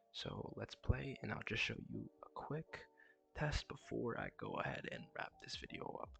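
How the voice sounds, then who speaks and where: A soft-spoken man talks at a fairly slow pace. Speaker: game developer vlogger. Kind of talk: tutorial.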